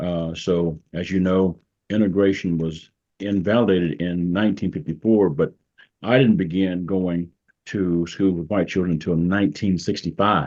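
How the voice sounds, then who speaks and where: Speaking at a moderate pace, a man with a very deep, low pitch keeps his intonation fairly even. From US South, rural southwest Arkansas. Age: 70s. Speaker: pastor and retired judge. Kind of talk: interview.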